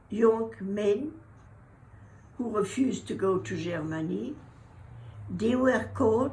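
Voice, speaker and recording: Vocal fry marks this woman's voice. Her pitch swings very widely. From Brittany, France. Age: 80s+. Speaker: war survivor. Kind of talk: interview answer.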